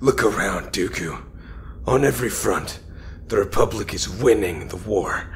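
A man performs a put-on character voice against clear background noise. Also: moderate pace. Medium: audio drama.

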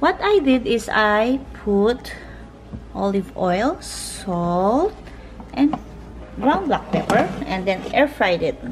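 A woman at a very slow pace, faint music in the background. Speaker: home cooking vlogger. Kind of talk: casual vlog chat. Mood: cheerful, enjoying food. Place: kitchen. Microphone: phone near.

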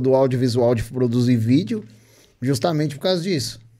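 Against a quiet background, a man speaks at a moderate pace. His tone is dark and mellow, with lively intonation. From Brazil. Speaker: podcast host. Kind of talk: casual chat. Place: studio. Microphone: studio mic.

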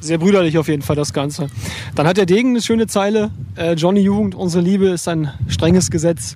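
A man speaks very fast at a high pitch, his intonation lively. The sound is dry with no echo, over light background noise. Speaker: music interviewer. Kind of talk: casual interview. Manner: joking, playful. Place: waterside. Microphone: handheld.

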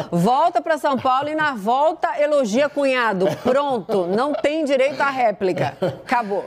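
With a high pitch and lively intonation, a woman speaks at very even loudness. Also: fairly slow pace. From Brazil. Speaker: TV news anchor. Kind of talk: TV news presentation. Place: studio. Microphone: lapel.

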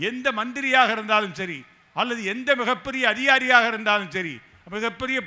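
A man projects a raised voice at an extremely high pitch. His pitch variation is ordinary. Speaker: rationalist activist speaker. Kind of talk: political rally speech. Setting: stage with audience. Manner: fiery.

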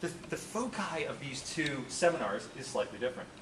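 Over noticeable background noise, a man with fairly high pitch speaks at a moderate pace with lively intonation. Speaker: course instructor. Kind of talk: lecture. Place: classroom.

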